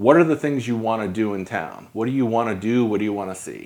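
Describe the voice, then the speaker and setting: With an American accent and an ordinary speaking voice, a man talks at a fairly quick pace with ordinary pitch variation. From New York. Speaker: podcast host and photographer. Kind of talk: casual interview.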